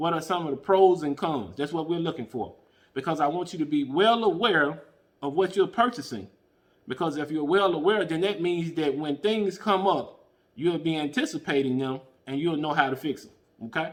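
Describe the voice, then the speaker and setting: Here is a man with an unremarkable speaking voice and a fairly high pitch. He keeps a moderate pace with ordinary pitch variation. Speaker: podcast host. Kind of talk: tutorial.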